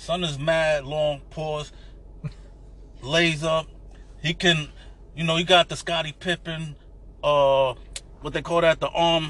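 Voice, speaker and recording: A man with a New York accent talks at a very slow pace, his pitch fairly high for a man. His intonation stays flat and monotone, broken by long, frequent pauses. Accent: New York City, urban. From New York City. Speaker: podcast guest, Knicks fan. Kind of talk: casual banter about basketball.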